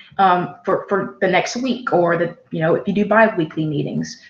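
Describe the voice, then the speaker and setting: A woman with a medium pitch speaks at a moderate pace, somewhat breathy, with ordinary pitch variation. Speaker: student club leader. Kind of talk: webinar presentation. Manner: halting.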